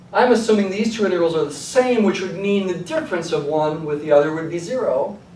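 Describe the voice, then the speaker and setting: Amid audible room echo and noticeable background noise, a man with a high pitch talks at a very fast pace with hardly any pauses. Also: lively intonation. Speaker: math professor. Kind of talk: lecture.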